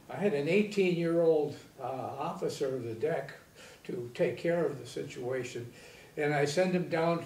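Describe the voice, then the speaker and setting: Speaking at a moderate pace, a man with an American accent has a fairly high pitch and ordinary pitch variation, with audible room echo. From Michigan, USA. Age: 80s+. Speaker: Navy veteran, former college president. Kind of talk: interview answer. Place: studio.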